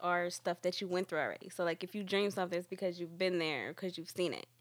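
A woman speaks with an American accent at a medium pitch. Her intonation is flat and monotone. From New York, Dominican family. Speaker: podcast guest. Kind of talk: casual chat.

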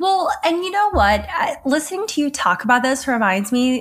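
A woman with an American accent talks with lively intonation. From US South. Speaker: podcast host and filmmaker. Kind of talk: casual chat.

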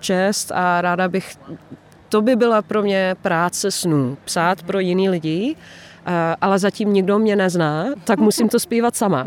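A woman speaks with a Dutch accent at a fairly slow pace. Her medium pitch has ordinary pitch variation, and her loudness stays very even. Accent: Dutch accent when speaking Czech. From Netherlands. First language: Dutch (speaking Polish). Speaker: singer-songwriter, former music teacher. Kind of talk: interview.

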